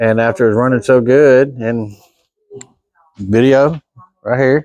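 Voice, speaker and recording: A man's ordinary speaking voice at a medium pitch, fairly slow, with fairly even intonation. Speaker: home mechanic. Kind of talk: casual talk to camera.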